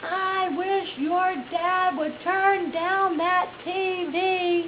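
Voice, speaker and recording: A woman puts on a character voice, pitched extremely high and delivered at a very slow pace over clear background noise. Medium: solo performance. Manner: stubborn, loud.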